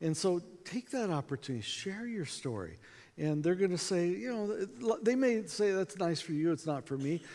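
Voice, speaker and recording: Here a man with an American accent has a high pitch, a dark, mellow tone and lively intonation. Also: very clean recording, silent background. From US, small town. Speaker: evangelism speaker. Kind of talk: conference talk. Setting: stage with audience.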